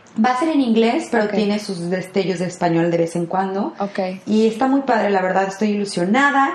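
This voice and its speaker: Against noticeable background noise, a woman with a medium pitch talks at a fairly quick pace with lively intonation and hardly any pauses. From Mexico, Guadalajara (Jalisco). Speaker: actress. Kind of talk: interview.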